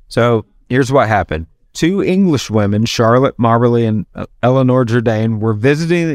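Speaking with a strong Southern US accent, a man keeps a moderate pace at a medium pitch, his intonation lively. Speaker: podcast host. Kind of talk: casual chat. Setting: bar.

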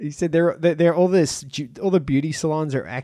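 An Australian-accented man with a dark, mellow tone, ordinary pitch variation and a fairly quick pace. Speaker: stand-up comedian and comedy promoter. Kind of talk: casual chat.

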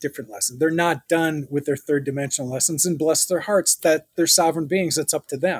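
A man with a plain, everyday voice and fairly high pitch. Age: 60s. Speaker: spiritual guest, former hospitality executive. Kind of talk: interview.

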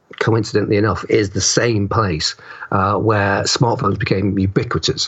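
A man is talking while noticeable background noise can be heard. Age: 50s. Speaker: writer. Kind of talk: interview. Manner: halting, many fillers.

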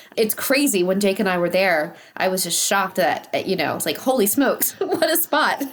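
Over noticeable background noise, a woman speaks at a moderate pace. Her medium pitch moves in very wide swings. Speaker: podcast host and interviewer. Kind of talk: casual chat. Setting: video call interview via remote recording.

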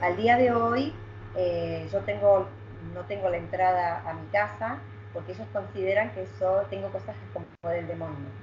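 Amid noticeable background noise and audible room echo, a woman speaks at a moderate pace with big swings in loudness. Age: 40s. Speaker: psychic. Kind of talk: interview.

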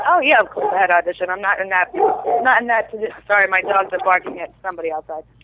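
A woman with a Brooklyn accent talks at a very fast pace with hardly any pauses. Noticeable background noise sits behind her. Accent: Brooklyn New York. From New York. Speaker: TV actress. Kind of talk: casual interview chat.

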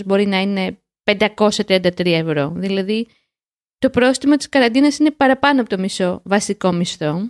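In a dry, close sound with no echo, a woman with an ordinary speaking voice talks at medium pitch and a fairly slow pace, her intonation lively. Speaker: podcast co-host, language learning show. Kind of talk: casual chat. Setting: remote call.

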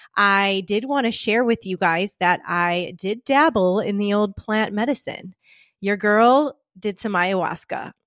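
Speaking at a fairly slow pace in an animated tone, a woman with a medium pitch and ordinary pitch variation is heard in a dry, close sound with no echo against a quiet background. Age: 40s. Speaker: holistic health coach and podcast host. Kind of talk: solo podcast monologue.

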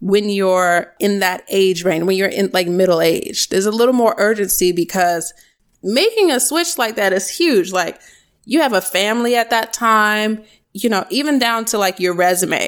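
With an American accent and a plain, everyday voice, a woman of medium pitch speaks at a moderate pace with ordinary pitch variation and very even loudness, on a very clean recording with a silent background. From US East Coast, small-town New Jersey. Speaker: iOS developer and tech educator. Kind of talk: casual interview.

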